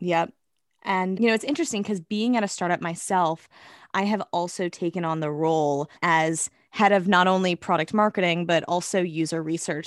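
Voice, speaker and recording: Speaking at a moderate pace, a woman has a fairly low pitch and ordinary pitch variation. The sound is dry and close with no echo. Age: 20s. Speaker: podcast host. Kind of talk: interview; scripted narration.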